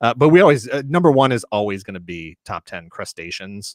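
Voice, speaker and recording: A man talks at a fairly quick pace and medium pitch with lively intonation, in an ordinary speaking voice. The recording is very clean with a silent background, and the sound is dry and close with no echo. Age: 40s. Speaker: toy collector YouTuber. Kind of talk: casual chat. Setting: livestream.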